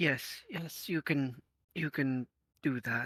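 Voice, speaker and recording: A put-on character voice from a man, fairly high in pitch, at a very slow pace. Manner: plain, matter-of-fact.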